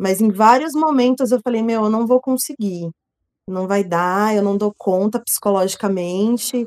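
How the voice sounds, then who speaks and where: A woman speaks at a fairly high pitch. Her pace is fairly slow, with ordinary pitch variation. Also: dry, close sound with no echo. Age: 30s. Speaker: nutrition technician. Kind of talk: casual chat.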